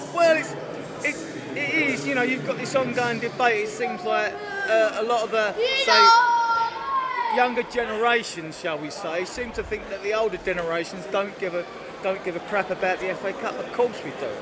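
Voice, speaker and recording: With lively intonation, the speaker uses a raised, projected voice at a moderate pace, with audible room echo and crowd noise in the background. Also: man, extremely high pitch for a man. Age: 60s. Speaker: football fan. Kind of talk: casual chat. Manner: halting.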